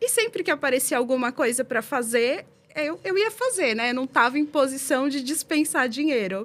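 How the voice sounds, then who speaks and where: Her voice is high and her intonation lively. The woman keeps a moderate pace. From São Paulo, Brazil (East Zone). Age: 40s. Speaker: podcast guest, former student. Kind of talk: interview, casual chat. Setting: podcast.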